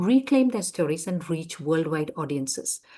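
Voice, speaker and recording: A woman with a Keralan accent speaks at a moderate pace in a dark, mellow tone, her pitch swinging very widely against a quiet background. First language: Malayalam. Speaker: lecturer. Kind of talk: lecture. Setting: conference session.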